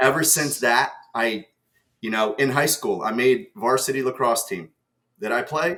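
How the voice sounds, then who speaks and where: With a New Jersey accent, a man speaks in a bright, sharp tone with ordinary pitch variation. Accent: American, New Jersey. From New Jersey, US (moved from Ukraine at seven). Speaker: sales executive. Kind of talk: podcast interview.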